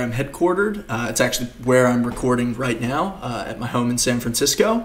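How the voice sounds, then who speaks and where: There is audible room echo around this man's medium-pitched voice. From Australia, Queensland. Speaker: developer advocate. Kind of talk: conference talk. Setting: home recording for virtual conference. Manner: frequent fillers.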